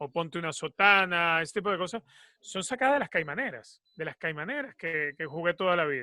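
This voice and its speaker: With a Venezuelan accent, a man speaks in a high, bright and sharp voice with lively intonation, the sound dry and close with no echo over a silent background in a very clean recording. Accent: Venezuelan, Caribbean. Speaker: football commentator and sports journalist. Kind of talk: interview.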